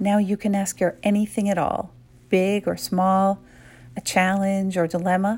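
The voice is calm, gentle and somewhat breathy, with monotone, flat intonation and very even loudness. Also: woman, medium pitch for a woman, fairly slow pace. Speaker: meditation guide. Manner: slow, calm and hushed, with short gentle directives separated by pauses for reflection; soothing and intimate, softly prompting questions to the listener's inner self.

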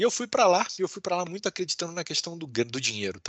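His pitch swings very widely. The man speaks very fast. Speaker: law professor and lawyer. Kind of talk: interview.

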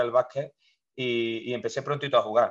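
Over a quiet background, a man speaks at medium pitch and a moderate pace. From Spain, Córdoba (Andalusia). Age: 30s. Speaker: basketball coach. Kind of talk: interview. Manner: halting, many repetitions.

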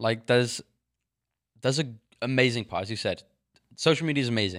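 Someone with an English accent speaks at a fairly quick pace and fairly even intonation on a very clean recording with a silent background. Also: man. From England. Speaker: podcast co-host. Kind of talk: casual chat.

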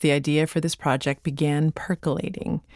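A woman with an ordinary speaking voice, fairly low in pitch, at a moderate pace. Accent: Canadian. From Canada. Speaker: podcast host. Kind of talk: scripted narration.

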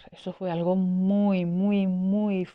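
A woman's fairly low voice at a very slow pace. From Venezuela, Caracas. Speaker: patient with rheumatoid arthritis. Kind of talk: interview.

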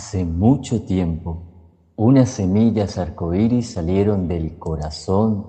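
Somewhat breathy and fairly low in pitch, a man speaks at a very slow pace with ordinary pitch variation. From Colombia, Cúcuta (Norte de Santander). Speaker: storyteller and psychologist. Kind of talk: storytelling narration.

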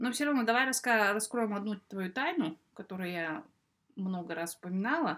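Her pitch is fairly high for a woman. She speaks with lively intonation. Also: moderate pace. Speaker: podcast host. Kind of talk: casual chat.

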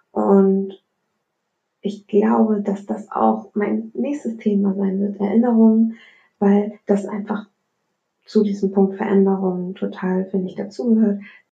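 At a very slow pace with long, frequent pauses, a woman speaks in a monotone, flat intonation at a medium pitch, her tone dark and mellow and somewhat breathy. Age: 20s. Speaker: podcast host. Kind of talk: solo monologue podcast. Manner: casual, many filler words.

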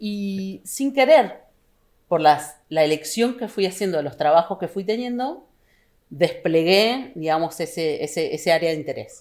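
A woman with a Rioplatense accent speaks at a fairly slow pace. The recording is very clean, with a silent background. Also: medium pitch for a woman, lively intonation. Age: 40s. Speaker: political scientist and university administrator. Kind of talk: casual interview.

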